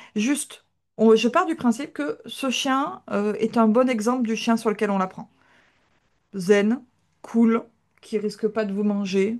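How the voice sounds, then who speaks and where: This woman talks at a fairly slow pace, leaving long, frequent pauses. Her voice sits fairly high with ordinary pitch variation against a quiet background. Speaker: dog trainer. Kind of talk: live online class.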